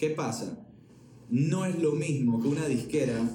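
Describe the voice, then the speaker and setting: With noticeable background noise and audible room echo, a man speaks fairly slowly at a fairly high pitch with lively intonation. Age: 20s. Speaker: music entrepreneur. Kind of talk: casual chat.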